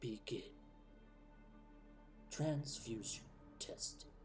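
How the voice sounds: A man speaks in a put-on character voice over clear background music.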